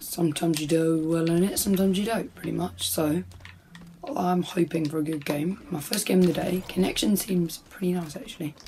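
A woman speaks at a fairly low pitch and a fairly quick pace. Noticeable background noise is present. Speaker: gaming YouTuber. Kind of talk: live gaming commentary over gameplay, casual YouTube. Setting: home recording, audio only over gameplay. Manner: casual, laid-back, mildly grumbling.

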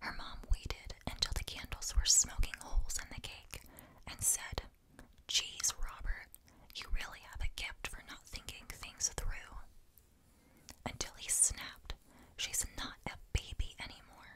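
The speech is whispered, and it comes slowly. Long pauses happen frequently. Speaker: ASMR storyteller. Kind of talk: reading aloud.

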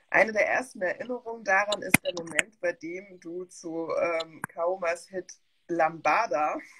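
A woman talks at a fairly slow pace, her pitch rising and falling in an ordinary way. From West Germany. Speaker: museum curator and talk host; talk host. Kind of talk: reading a bio introduction; online panel talk. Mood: friendly, smiling. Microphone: video call.

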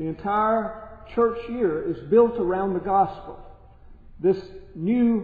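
A man at a fairly slow pace with audible room echo. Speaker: priest. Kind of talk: sermon. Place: church. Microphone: podium.

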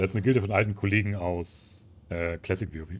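A man's very deep, low, somewhat breathy voice on a very clean recording with a silent background. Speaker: gaming streamer. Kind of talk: live gameplay commentary. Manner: animated.

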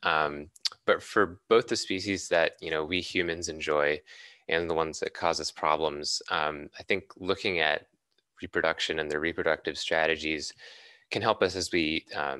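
A man with an American accent speaks in a very deep, low pitch with a bright, sharp tone. His intonation stays fairly even at a moderate pace, and the sound is dry with no echo over a quiet background. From Boston, Massachusetts. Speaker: environmental scientist. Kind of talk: lecture. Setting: video call. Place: home room. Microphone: studio mic.

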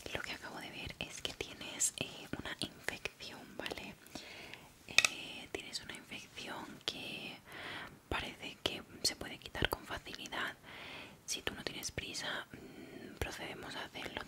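Loud background noise fills the clip. Through it, a woman speaks at a fairly slow pace. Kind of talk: roleplay, soft spoken. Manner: soft-spoken ASMR dentist voice. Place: home room. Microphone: studio mic.

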